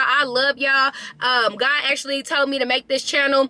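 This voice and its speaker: Over noticeable background noise, a woman uses a raised, projected voice at a high pitch. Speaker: motivational vlogger. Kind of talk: casual chat. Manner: fast; animated.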